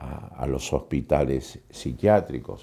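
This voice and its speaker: The voice has a dark, mellow tone with vocal fry. Its intonation is lively, and the pace is very slow. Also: man. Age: 70s. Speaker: poet and writer on madness. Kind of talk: interview.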